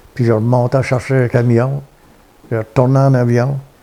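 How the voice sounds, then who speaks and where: A man speaks at a medium pitch. His tone is dark and mellow. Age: 70s. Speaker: retired trucker. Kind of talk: interview storytelling. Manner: halting.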